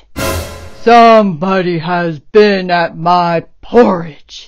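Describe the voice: This is a gruff, put-on character voice at a middle pitch. It moves at a very slow pace.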